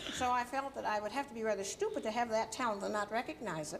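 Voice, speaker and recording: A woman speaks at a fairly quick pace in a fairly high pitch. There is noticeable background noise. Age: 70s. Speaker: journalist and civil rights activist, author. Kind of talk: TV talk show interview. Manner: halting.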